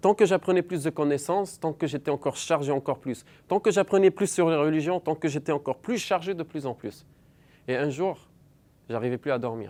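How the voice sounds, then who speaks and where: In an Arabic accent, a man with a fairly high, dark and mellow voice speaks at a fairly quick pace with ordinary pitch variation, the sound dry and close with no echo in a very clean recording with a silent background. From Lebanon. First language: Arabic (speaking French). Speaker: believer sharing conversion story. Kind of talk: testimony.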